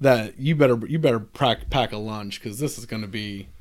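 At a fairly quick speed, this man talks in a normal speaking voice, his medium pitch moving with ordinary variation. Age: 30s. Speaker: wrestling fan. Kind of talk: casual chat.

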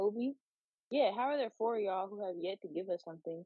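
Her intonation lively, a woman talks at a medium pitch. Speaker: podcast co-host. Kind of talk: casual chat.

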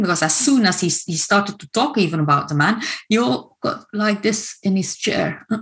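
A woman speaks with a Dutch accent at a medium pitch, sounding somewhat breathy. Her pace is moderate and her intonation lively. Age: 50s. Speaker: coach and trauma trainer. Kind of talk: online workshop presentation. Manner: hesitant, many fillers.

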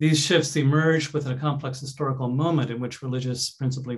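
The speech comes very fast and somewhat breathy. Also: man. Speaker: professor. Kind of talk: academic panel presentation. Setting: video call.

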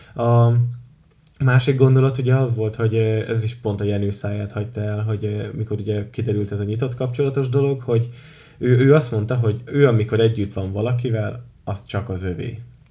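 This man's medium-pitched voice has a dark, mellow tone and a somewhat breathy quality, moving at a fairly quick pace with fairly even intonation. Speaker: podcast host. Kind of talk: casual chat.

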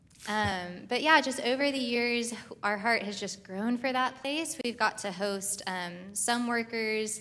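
Her tone is bright and sharp, with an American accent. The woman's voice carries audible room echo. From US. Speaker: missionary. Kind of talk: testimony. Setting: church.

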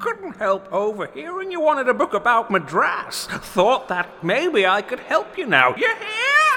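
A man's raised, projected voice sits extremely high in pitch and swings very widely, moving at a moderate pace with hardly any pauses. Background noise is clearly audible. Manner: ominous, rambling, folksy.

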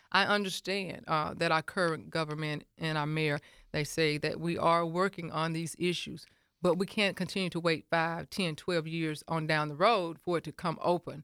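In a very clean recording with a silent background and a dry, close sound with no echo, a woman with a Southern US accent speaks at a moderate pace in a fairly low pitch with fairly even intonation. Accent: Southern US (Georgia). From US South (Milledgeville, Georgia). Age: 50s. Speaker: mayoral candidate and pastor. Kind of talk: radio interview. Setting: studio.

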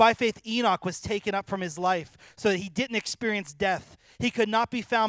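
The speaker is reading aloud in a natural voice. The words are read out rather than spoken freely.

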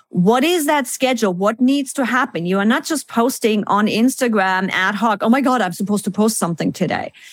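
A woman speaks with lively intonation and a non-native accent. The recording is very clean, with a silent background. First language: not English. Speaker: business efficiency consultant. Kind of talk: interview.

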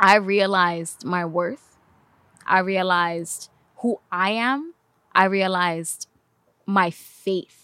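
A woman with a New York accent at a medium pitch, very slow with long, frequent pauses, bright and sharp in tone, ordinary pitch variation, dry close sound without echo. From Bronx, New York. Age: 30s. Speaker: filmmaker. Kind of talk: casual podcast interview.

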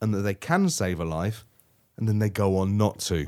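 A plain, everyday voice from a man, fairly low in pitch and fairly quick, in a very clean recording with a silent background. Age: 40s. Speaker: podcast co-host, games journalist. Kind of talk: casual chat.

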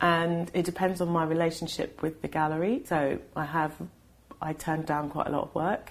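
A woman with a London accent, fairly low in pitch, at a moderate pace. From UK, London. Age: 40s. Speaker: artist. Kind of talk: casual interview conversation. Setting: artist's studio. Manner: halting, many fillers and restarts.

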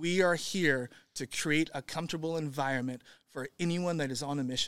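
In a normal speaking voice with an American accent, a man talks at a fairly quick pace, fairly high in pitch with fairly even intonation. The sound is dry and close with no echo, in a very clean recording with a silent background. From Northern California. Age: 40s. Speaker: gym founder and owner. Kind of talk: casual interview.

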